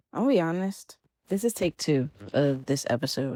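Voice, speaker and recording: In a plain, everyday voice, a woman speaks at a moderate pace and a fairly low pitch, in a very clean recording with a silent background and a dry, close sound with no echo. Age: 20s. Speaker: podcast host; college student. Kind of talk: casual podcast talk.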